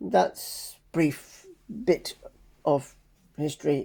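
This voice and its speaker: A put-on character voice sits at a middle pitch. The words come out mumbled. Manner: mumbling.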